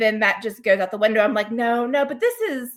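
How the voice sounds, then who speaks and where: A woman with an American accent, fairly high in pitch, at a fairly quick pace. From US South. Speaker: podcast co-host, travel agent. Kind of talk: casual chat. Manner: animated.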